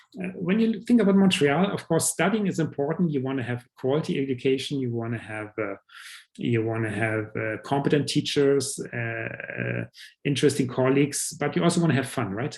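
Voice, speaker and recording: A man speaks at a fairly quick pace with a German accent and a fairly high pitch. His voice is somewhat breathy, with lively intonation. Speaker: professor. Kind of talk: presentation. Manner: halting, many fillers.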